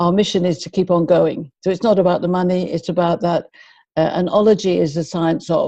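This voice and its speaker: With a London accent, a woman speaks fairly quickly in a dark, mellow tone, her pitch fairly low and her intonation fairly even. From London, England (Finchley, North London). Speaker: behaviour and communication expert. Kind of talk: interview.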